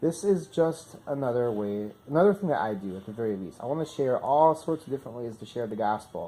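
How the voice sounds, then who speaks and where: Talking at a moderate pace, a man has a dark, mellow tone and ordinary pitch variation. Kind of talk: gameplay commentary. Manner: halting, many fillers; casual.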